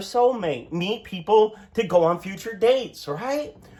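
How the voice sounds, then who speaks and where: A man speaks loudly at a fairly slow pace, his high voice full of lively intonation. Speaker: astrologer. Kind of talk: tutorial. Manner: animated.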